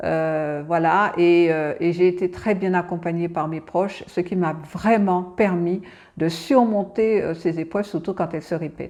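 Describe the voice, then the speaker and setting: Her pitch fairly low and her intonation fairly even, a woman speaks at a fairly slow pace. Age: 60s. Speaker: cancer patient expert and advocate. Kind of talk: testimony. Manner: halting, many hesitations and repetitions.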